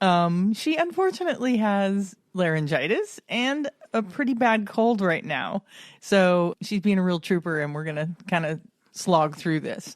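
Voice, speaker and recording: A woman's unremarkable speaking voice at a fairly slow pace, lively intonation, and a quiet background. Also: medium pitch for a woman. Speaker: podcast co-host. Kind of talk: casual podcast conversation.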